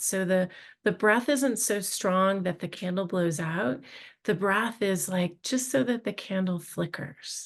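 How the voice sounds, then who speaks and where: A woman talks in a calm tone at a medium pitch and a moderate pace, with ordinary pitch variation. The background is quiet. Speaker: mindfulness and wellness instructor. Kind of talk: guided meditation. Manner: soft-spoken.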